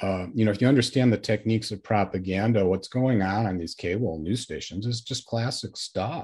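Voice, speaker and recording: Speaking with a Midwestern American accent, a man talks at a fairly quick pace with hardly any pauses. His pitch is fairly low, with ordinary variation. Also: very clean recording, silent background. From US Midwest, northern Illinois. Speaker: author and former journalist. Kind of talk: interview.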